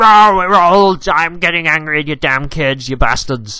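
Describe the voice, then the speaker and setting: A man's put-on character voice, fairly high and growling, raised and projected, delivered at a moderate pace. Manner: grumpy, growling, angry at young people.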